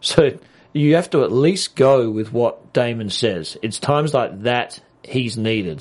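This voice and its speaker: A man with an Australian accent talks at a fairly slow pace. His voice sits at medium pitch, with lively intonation. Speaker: TV aftershow co-host. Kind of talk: casual chat.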